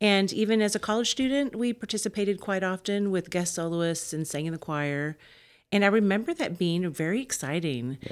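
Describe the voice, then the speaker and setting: A woman with an American accent and a plain, everyday voice speaks at a fairly quick pace and medium pitch, her intonation lively, in a very clean recording with a silent background. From Wichita Falls, Texas. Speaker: opera singer and voice teacher. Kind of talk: interview.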